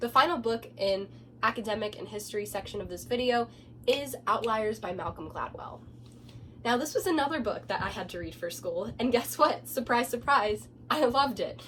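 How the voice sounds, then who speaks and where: Amid noticeable background noise, a woman speaks with big swings in loudness. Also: moderate pace. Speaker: book reviewer. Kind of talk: casual talk to camera.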